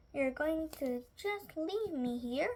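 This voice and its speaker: In a squeaky, put-on character voice, the speaker's pitch swings very widely. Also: woman, high pitch for a woman. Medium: read story. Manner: prying, insinuating.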